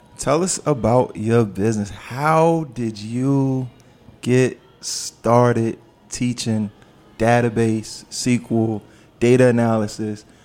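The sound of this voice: A man's medium-pitched voice with a slightly mellow tone, fairly even intonation and a slow pace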